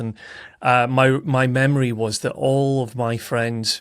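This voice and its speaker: His pitch sits in the medium range. The man's intonation stays monotone and flat. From Scotland, Aberdeen. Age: 30s. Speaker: golf coach and podcaster. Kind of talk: interview. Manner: halting.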